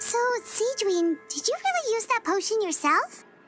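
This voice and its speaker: A woman puts on a squeaky character voice at an extremely high pitch, speaking at a moderate pace over clear background music. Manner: surprised.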